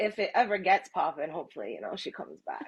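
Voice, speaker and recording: A woman with an unremarkable speaking voice, a fairly quick pace and ordinary pitch variation. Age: 30s. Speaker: podcast host. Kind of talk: casual chat. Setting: live stream.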